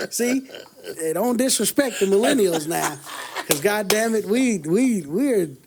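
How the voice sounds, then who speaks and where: The speech moves at a fairly slow pace with lively intonation. Noticeable background noise runs underneath. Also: man, high pitch for a man. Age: 30s. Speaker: podcast co-host. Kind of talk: casual chat. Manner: animated.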